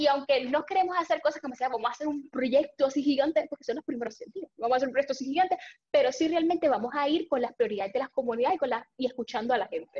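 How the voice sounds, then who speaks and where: Talking very fast with hardly any pauses, a woman with a high pitch and ordinary pitch variation is heard in a dry, close sound with no echo. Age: 20s. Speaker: young political candidate. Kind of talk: interview.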